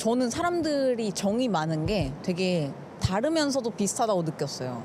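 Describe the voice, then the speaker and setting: Pitched fairly high, a woman speaks at a moderate pace with very wide pitch swings. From South Korea. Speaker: content creator. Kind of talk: street interview answer.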